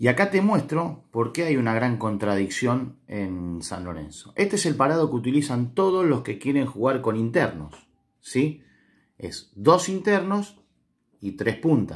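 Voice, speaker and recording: Against a quiet background, a man with an Argentine accent talks at a fairly slow pace with very wide pitch swings. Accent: Rioplatense Argentine Spanish. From Argentina. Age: 50s. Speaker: former football player and coach, football commentator; coach, football commentator. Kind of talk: football analysis monologue. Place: home room. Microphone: phone near.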